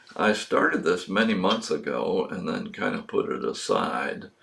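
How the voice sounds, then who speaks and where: The man's fairly slow speech comes through noticeable background noise. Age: 70s. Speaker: video blogger. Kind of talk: casual monologue. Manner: halting, many fillers.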